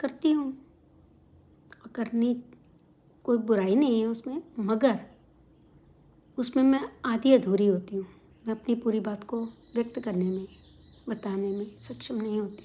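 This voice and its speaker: With a Punjabi accent, a woman speaks at a fairly high pitch in a dark, mellow, somewhat breathy tone with ordinary pitch variation. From India, outside Punjab. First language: Punjabi (speaking Hindi). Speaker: vlogger. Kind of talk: casual talk to camera. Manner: hesitant fillers.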